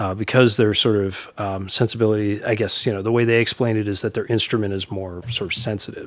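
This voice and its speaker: This is an ordinary speaking voice with an American accent. The pace is fairly quick and the intonation fairly even. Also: man. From New York (Bronx, then Dutchess County). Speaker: writer-director and line producer. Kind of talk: casual interview.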